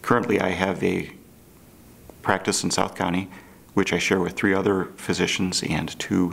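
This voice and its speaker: A man's very deep, low voice with an American accent, at a moderate pace and in a flat monotone. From US Midwest, St. Louis, Missouri; Missouri. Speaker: physician. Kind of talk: promotional self-introduction. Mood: calm, friendly. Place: studio.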